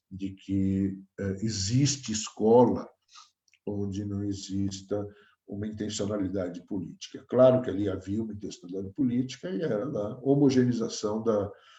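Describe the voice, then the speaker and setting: A somewhat breathy, dark, mellow tone at a moderate pace, with ordinary pitch variation. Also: man. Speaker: professor. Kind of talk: lecture.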